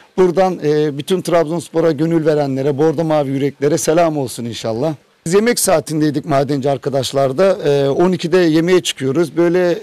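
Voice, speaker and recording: The dark, mellow voice moves at a fairly quick pace with hardly any pauses and ordinary pitch variation, in a dry sound with no echo against a quiet background. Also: man. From Turkey. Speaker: coal miner. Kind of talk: interview. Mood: happy, proud. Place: tunnel cave. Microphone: handheld.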